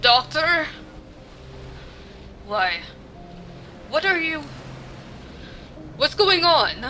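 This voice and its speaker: A gruff, high put-on character voice at a very slow pace, with long, frequent pauses and clear background noise. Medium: actual play. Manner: curt, formal.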